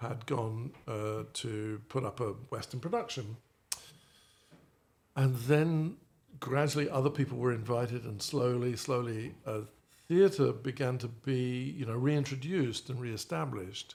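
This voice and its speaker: A somewhat breathy voice in a British accent, fairly slow, with ordinary pitch variation. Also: man. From Australia by family, trained in London. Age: 60s. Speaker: stage actor. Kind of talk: interview. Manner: halting.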